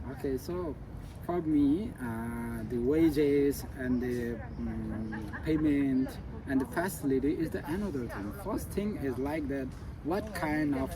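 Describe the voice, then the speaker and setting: With crowd noise in the background and audible room echo, a man with a Nepali accent speaks at a fairly slow pace. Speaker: public health officer and graduate student. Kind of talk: interview answers. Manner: halting, many fillers.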